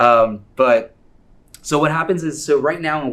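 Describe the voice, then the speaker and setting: A man with an American accent talks, and room echo can be heard. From US, New York. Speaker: tech entrepreneur speaker. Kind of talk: conference talk. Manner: fast; animated.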